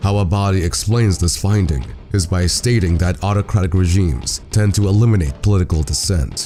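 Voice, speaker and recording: A man's very deep, low voice at a fairly quick pace, very even in loudness, with music in the background. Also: ordinary pitch variation. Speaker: political video essayist. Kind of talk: video essay narration.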